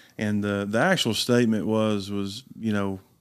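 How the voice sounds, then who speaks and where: In a very clean recording with a silent background, a man with an East Tennessee accent talks at a moderate pace, his fairly low voice flat and monotone. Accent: Southern US (East Tennessee). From US South, East Tennessee. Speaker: pastor. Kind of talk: casual chat.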